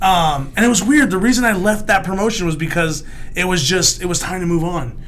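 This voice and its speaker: Noticeable background noise and audible room echo surround a man's voice. He speaks high in pitch at a fairly quick pace. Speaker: comedian and former wrestling announcer. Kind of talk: casual chat. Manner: halting, with repeated restarts.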